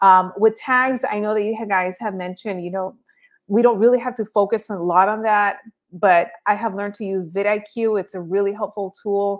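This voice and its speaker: With a Spanish accent, a woman speaks at a moderate pace in a medium pitch with fairly even intonation over a quiet background. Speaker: real estate agent and YouTube creator. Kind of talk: interview.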